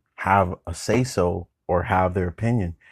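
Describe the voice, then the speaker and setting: A man talks in an animated tone. His voice is very deep and low, and the sound is dry and close with no echo. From California, Bay Area. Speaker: podcast host. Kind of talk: casual monologue. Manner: animated, with frequent fillers and laughs.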